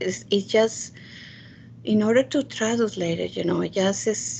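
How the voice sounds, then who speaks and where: With noticeable background noise, a woman of medium pitch and a Spanish accent speaks at a fairly slow pace, her pitch swinging very widely. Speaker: committee member. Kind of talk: virtual public meeting. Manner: halting.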